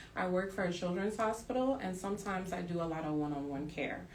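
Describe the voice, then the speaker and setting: Ordinary pitch variation with audible room echo. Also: woman. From Trinidad. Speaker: author and pole fitness instructor. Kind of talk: interview. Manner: hesitant.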